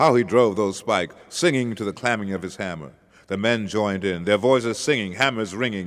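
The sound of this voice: Reading done in an unforced voice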